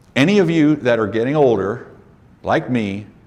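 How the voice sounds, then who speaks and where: There is audible room echo as a man speaks at a medium pitch. His intonation is lively and his pace fairly slow. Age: 60s. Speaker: business coach for auto repair shop owners. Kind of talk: conference presentation. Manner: animated.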